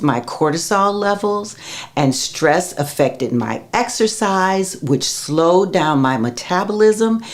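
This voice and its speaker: Amid noticeable background noise, a woman talks at a fairly low pitch with very wide pitch swings. Her pace is fairly slow. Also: very even loudness. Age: 60s. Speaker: menopause health educator. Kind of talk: vlog-style talk to camera. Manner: casual, conversational.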